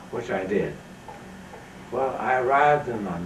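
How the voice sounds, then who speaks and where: A man talks at a moderate pace with lively intonation, with audible room echo and noticeable background noise. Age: 90s. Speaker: author and filmmaker giving lectures. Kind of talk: storytelling lecture.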